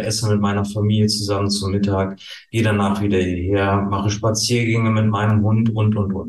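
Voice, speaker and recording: A man speaks fairly quickly in a fairly low pitch, his intonation flat and monotone. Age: 40s. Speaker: tax advisor and coach. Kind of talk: interview. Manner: hesitant with many fillers.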